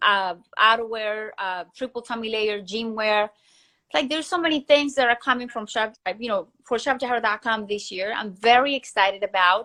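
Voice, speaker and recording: A woman's fairly high voice with a bright, sharp tone. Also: ordinary pitch variation, moderate pace. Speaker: entrepreneur, former recording artist. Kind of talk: interview. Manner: animated.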